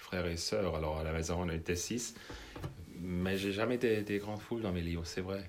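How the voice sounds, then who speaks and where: A man's very deep, low voice in a German accent, fairly even in intonation, with audible room echo. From Switzerland. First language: German (speaking French). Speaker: novelist. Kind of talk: interview.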